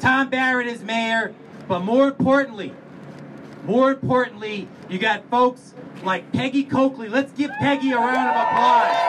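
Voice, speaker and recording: Against noticeable background noise, a man speaks at an extremely high pitch for a man, with ordinary pitch variation and a moderate pace. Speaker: city commissioner. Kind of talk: speech at public event. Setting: stage with audience. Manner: animated.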